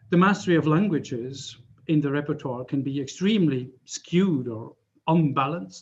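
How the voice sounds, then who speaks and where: A man's fairly high, somewhat breathy voice at a moderate pace, with a Swiss German accent. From German-speaking Switzerland. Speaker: professor. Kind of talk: lecture. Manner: halting, many fillers.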